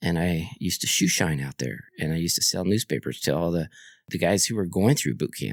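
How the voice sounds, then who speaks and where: A man with a very deep, low pitch and vocal fry talks at a fairly quick pace with lively intonation on a very clean recording with a silent background. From Guam and Kentucky (Fort Knox). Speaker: army veteran. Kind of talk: interview conversation.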